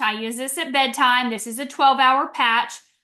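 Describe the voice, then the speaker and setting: A woman speaks at a fairly quick pace, her voice high, raised and projected. Her tone is bright and sharp, with ordinary pitch variation. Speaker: wellness presenter. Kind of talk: product presentation. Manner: fast; animated.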